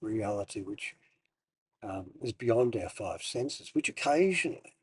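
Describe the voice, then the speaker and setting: This is a man speaking. His pace is fairly slow. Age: 60s. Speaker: meditation teacher. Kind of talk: personal monologue. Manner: halting.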